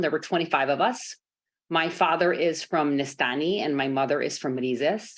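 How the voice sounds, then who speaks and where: A woman with a Chicago accent at a moderate pace, with ordinary pitch variation and a quiet background. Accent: American, Chicago. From Chicago, Greek-American family. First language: Greek. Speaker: sports executive, lawyer. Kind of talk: speech on podcast.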